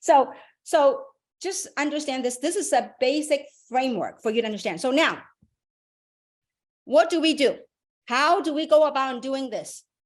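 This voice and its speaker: A woman talks in an animated, high-pitched voice with ordinary pitch variation. She leaves long, frequent pauses. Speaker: business opportunity presenter. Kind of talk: motivational presentation on a webinar. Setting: online group call. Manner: fast.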